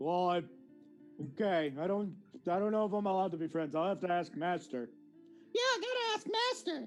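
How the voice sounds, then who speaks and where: Put-on character voice at a middle pitch and fairly quick pace, with clear music in the background. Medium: actual play. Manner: eager, simple, loyal.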